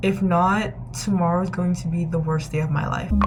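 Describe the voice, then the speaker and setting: Talking at a very fast pace, a woman with a fairly low pitch keeps her intonation fairly even amid noticeable background noise and audible room echo. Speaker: student vlogger. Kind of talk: casual vlog narration. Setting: study room. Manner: whispering.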